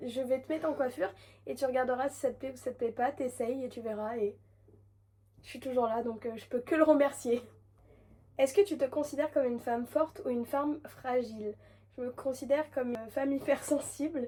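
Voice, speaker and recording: Pitched high, a woman talks at a fairly quick pace with a dark, mellow tone, ordinary pitch variation, long and frequent pauses, and big swings in loudness. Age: 20s. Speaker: hairdresser and content creator. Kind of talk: casual vlog Q&A. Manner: hesitant, many fillers.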